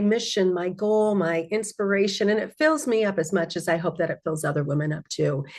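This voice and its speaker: Talking at a fairly quick pace, a woman's voice swings very widely in pitch. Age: 60s. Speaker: magazine founder hosting online event. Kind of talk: online group call, welcome talk. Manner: warm, enthusiastic.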